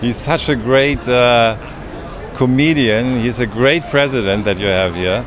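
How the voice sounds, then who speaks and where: A man with a German accent at a fairly slow pace, ordinary pitch variation, noticeable background noise and a dry sound with no echo. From Germany. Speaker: actor. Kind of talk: red carpet interview. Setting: red carpet event. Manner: halting. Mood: jovial, playful. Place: street. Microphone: handheld.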